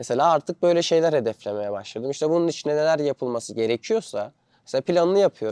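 A man's fairly high, dark, mellow voice at a very fast pace, with lively intonation and a dry, close sound with no echo. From Turkey. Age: 20s. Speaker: vlogger. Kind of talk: casual vlog monologue.

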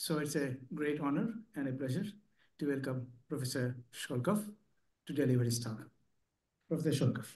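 A somewhat breathy man talks at a fairly high pitch with ordinary pitch variation. His pace is moderate, with long, frequent pauses, over a quiet background. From India. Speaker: session chair and statistician. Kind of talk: formal introduction. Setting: stage with audience. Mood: polite, formal. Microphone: video call.

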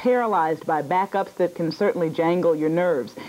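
Over faint background noise, a woman speaks at a fairly quick pace in a slightly mellow tone with ordinary pitch variation.

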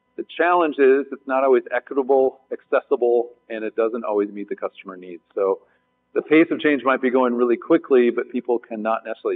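There is music in the background. A man speaks over it at a fairly quick pace. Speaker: panel moderator. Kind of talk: panel introduction to a live audience. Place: stage.

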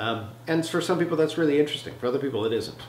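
A man at a very fast pace over noticeable background noise. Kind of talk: interview answer. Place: home room.

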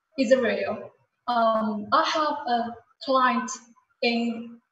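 Recorded with audible room echo and light background noise, a woman speaks at a high pitch with ordinary pitch variation. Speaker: sales manager. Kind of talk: business presentation. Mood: calm, promotional. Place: office. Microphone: webcam.

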